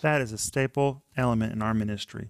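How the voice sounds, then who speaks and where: A man's unremarkable speaking voice at medium pitch, fairly even in intonation, dry and close with no echo, on a very clean recording over a silent background. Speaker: Bible study co-host. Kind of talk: devotional teaching discussion. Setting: studio.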